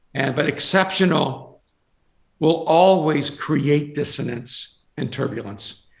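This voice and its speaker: A somewhat breathy man's voice, fairly high in pitch with ordinary variation, at a very slow pace. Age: 60s. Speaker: pastor and author. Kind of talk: interview. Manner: halting, many repeated words.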